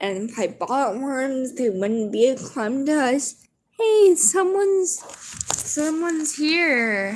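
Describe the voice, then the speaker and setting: The speaker talks at a very slow pace in a relaxed tone with an American accent. The pitch moves in very wide swings. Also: woman, high pitch for a woman. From US. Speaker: livestreamer. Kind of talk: casual chat. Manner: low-key, relaxed.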